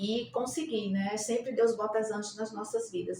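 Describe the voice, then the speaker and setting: A woman talks at a fairly quick pace with a medium pitch and fairly even intonation. Noticeable background noise runs behind her. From Brazil, Rio Grande do Norte (Natal). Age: 60s. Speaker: nursing professor. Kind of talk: interview. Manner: halting, many fillers.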